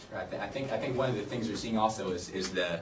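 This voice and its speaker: With an American accent, a man speaks at a fairly low pitch and with fairly even intonation, with audible room echo around him. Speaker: campaign volunteer. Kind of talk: panel discussion. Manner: halting, many repetitions.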